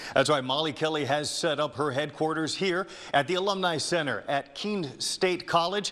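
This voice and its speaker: A man's fairly high-pitched voice, an ordinary speaking voice, at a moderate tempo with ordinary pitch variation. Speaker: TV news reporter and anchor. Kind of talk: live field report.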